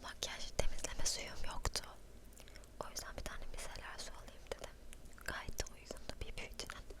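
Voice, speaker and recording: Whispering with big swings in loudness and long, frequent pauses, a woman is heard over noticeable background noise. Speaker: ASMR creator. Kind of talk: ASMR show and tell. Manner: soft-spoken, whispering.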